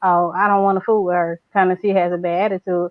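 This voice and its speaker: At a moderate tempo, a woman is speaking. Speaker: podcast guest. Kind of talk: casual chat. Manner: louder than usual.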